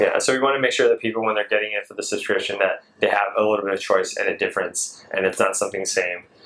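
Talking at a very fast pace in an American accent, a man is heard against noticeable background noise. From US West Coast (Seattle). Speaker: chef and granola business owner. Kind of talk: casual interview.

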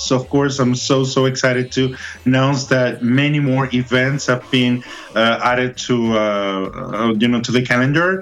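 A man talks at a moderate pace with fairly even intonation while background noise is noticeable. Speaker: events calendar contributor. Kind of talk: casual chat. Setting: phone call.

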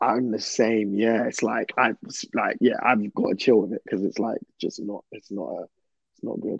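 The man's loudness swings widely as he talks at a moderate pace, recorded with a dry, close sound that has no echo. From southeast London. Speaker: singer-songwriter. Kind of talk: casual interview chat. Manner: hesitant, filler-heavy.

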